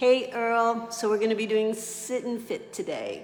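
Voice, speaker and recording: Fairly slow speech from a woman, audible room echo around it. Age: 60s. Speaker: fitness instructor. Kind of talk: live exercise class. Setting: livestream. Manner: casual, encouraging.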